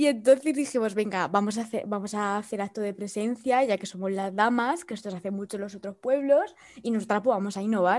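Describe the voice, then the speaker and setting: Fairly quick and animated, the speech runs on with hardly any pauses. Pitch variation is ordinary, and the recording is very clean with a silent background. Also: woman, fairly high pitch for a woman. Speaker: podcast co-host. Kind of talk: casual chat.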